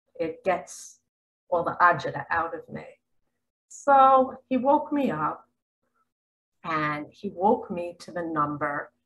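A woman with an American accent speaks at a very slow pace, with long, frequent pauses and a fairly low pitch. Her pitch swings very widely and her loudness rises and falls sharply. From Missouri, US Midwest. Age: 60s. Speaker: spiritual speaker. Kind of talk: video monologue. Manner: animated. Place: home room. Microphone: webcam.

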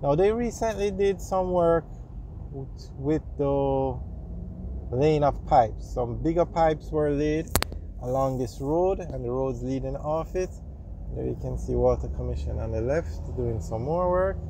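A man at a fairly slow pace, dry sound with no echo, noticeable background noise. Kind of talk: casual commentary. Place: car. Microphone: phone near.

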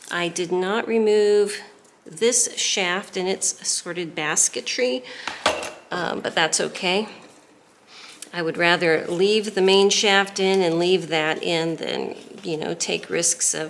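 Very slow speech broken by long, frequent pauses, with ordinary pitch variation. Light background noise sits behind it. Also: woman, fairly low pitch for a woman. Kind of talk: tutorial. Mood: relaxed, chatty. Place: workshop.

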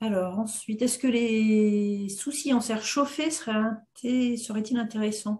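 A woman speaks in a somewhat breathy voice with a dark, mellow tone and ordinary pitch variation. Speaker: webinar moderator. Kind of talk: moderating. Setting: video call. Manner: halting. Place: home room. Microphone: webcam.

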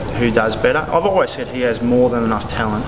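With noticeable noise in the background, a man speaks fairly quickly. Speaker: interviewee. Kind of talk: interview answer. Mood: relaxed, modest. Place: gym.

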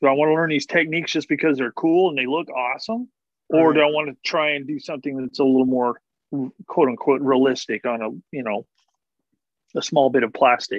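Against a quiet background, a man talks at a fairly quick pace with ordinary pitch variation in a dry sound with no echo. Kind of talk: casual conversation. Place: home room. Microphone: video call.

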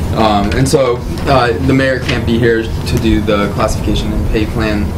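Loud background noise sits behind a man's voice. He talks at a fairly slow pace with ordinary pitch variation. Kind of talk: meeting discussion. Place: meeting room. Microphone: camera far.

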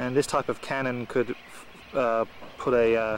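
A man's voice comes through dry with no echo over light background noise. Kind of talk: casual home-video commentary. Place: open country. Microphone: old recording.

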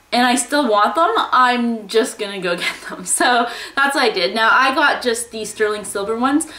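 In a room with audible echo, a woman speaks at a high pitch. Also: ordinary pitch variation, moderate pace. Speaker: lifestyle vlogger. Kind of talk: casual vlog chat. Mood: cheerful, chatty. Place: home room. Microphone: phone near.

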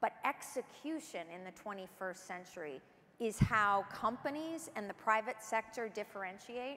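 With an enthusiastic tone and lively intonation, a woman talks at a fairly slow pace in a fairly high pitch. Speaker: government official. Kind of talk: keynote speech. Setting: stage with audience. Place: stage. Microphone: lapel.

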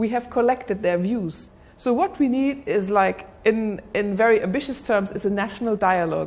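At a moderate pace, a somewhat breathy woman speaks with ordinary pitch variation. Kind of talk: interview answer. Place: office.

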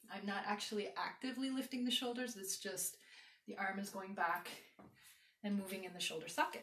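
A woman talks at a moderate pace. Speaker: exercise instructor. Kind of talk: tutorial. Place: home room. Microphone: camera far.

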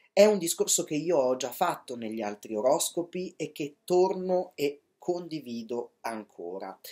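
The voice has a dark, mellow tone and lively intonation, moving at a fairly slow pace. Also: man, fairly high pitch for a man, hardly any pauses, quiet background. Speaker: astrologer. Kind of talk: horoscope monologue. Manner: hesitant, many fillers. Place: home room. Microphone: webcam.

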